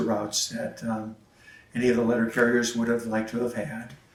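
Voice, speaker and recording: A man with an American accent, fairly quick and monotone, flat in intonation, amid noticeable background noise and audible room echo. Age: 60s. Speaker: retired mail carrier. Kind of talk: interview testimony. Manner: halting, many fillers.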